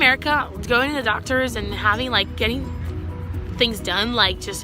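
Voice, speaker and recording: A woman talking at a fairly quick pace, with music in the background. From Brazil. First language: Portuguese. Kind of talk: casual talk to camera. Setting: outdoors.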